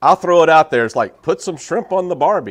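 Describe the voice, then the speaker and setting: A man with an American accent talks at a very fast pace in a fairly high pitch, with vocal fry. The sound is dry and close, with no echo. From US South, southern Mississippi. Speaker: motorcycle YouTuber. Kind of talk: casual chat. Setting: live stream.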